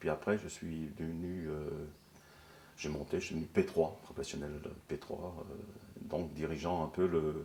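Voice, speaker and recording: This man's voice has a very deep, low pitch. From Brittany, North Finistère (Kerlouan). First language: Breton (speaking French). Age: 70s. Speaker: former factory worker and trade unionist. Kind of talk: interview testimony. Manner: halting, many hesitations.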